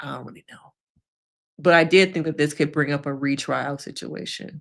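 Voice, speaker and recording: A woman's very deep, low voice at a moderate pace, with vocal fry and big swings in loudness. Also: fairly even intonation. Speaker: therapist. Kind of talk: live stream reaction chat. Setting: live stream.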